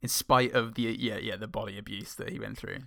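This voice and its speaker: Man with fairly low pitch, a bright, sharp tone, vocal fry, fairly even intonation and a very fast pace. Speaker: film podcast co-host. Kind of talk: comedic film review chat with bits.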